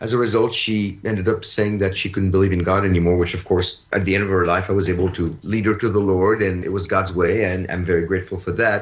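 A man's very deep, low voice, somewhat breathy and monotone, at a very fast pace with hardly any pauses. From France. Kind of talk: radio interview.

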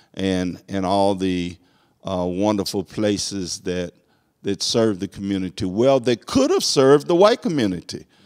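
In a Southern US accent, a man speaks with fairly low pitch at a moderate pace over a quiet background. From US South. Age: 60s. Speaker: court clerk. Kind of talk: casual interview. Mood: earnest, emphatic about history. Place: studio. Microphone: handheld.

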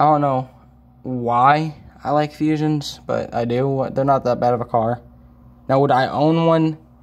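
Ordinary pitch variation runs through the man's speech. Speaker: vlogger. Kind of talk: casual vlog chat. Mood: relaxed, offhand. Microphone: phone near.

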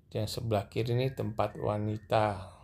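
On a very clean recording with a silent background, a man with vocal fry speaks at a moderate pace in a fairly low pitch with little pitch movement. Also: slightly mellow tone.

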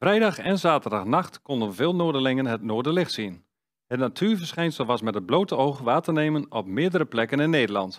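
Over a quiet background, a man speaks at a moderate pace with very wide pitch swings. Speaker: news presenter. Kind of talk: news reading. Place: studio. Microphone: headset.

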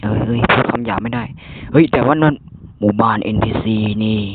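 The voice is a put-on character from a man. It sits at a medium pitch. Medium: dub. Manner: loud, rough, crude.

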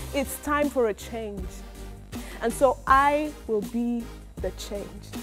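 A woman with a Nigerian accent at a very slow pace, big swings in loudness, and faint music in the background. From Nigeria, Edo State. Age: young. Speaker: spoken word poet. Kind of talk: spoken word poetry performance. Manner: heartfelt. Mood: earnest, impassioned. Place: hall. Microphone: lapel.

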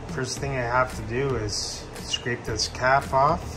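A man at a very slow pace over noticeable background noise. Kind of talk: tutorial. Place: kitchen. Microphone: phone near.

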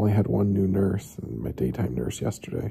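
A man talks at a moderate pace in a fairly low pitch, with vocal fry and a dark, mellow tone. The background is quiet. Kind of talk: casual vlog chat. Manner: drowsy, low-energy talk lying in bed. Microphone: phone near.

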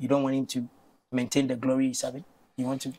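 The man's pitch sits in the medium range. His intonation stays flat and monotone. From Ghana. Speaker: TV sports presenter; TV presenter. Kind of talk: studio interview. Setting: studio. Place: studio. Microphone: lapel.

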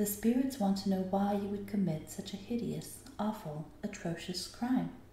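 A natural voice reading aloud

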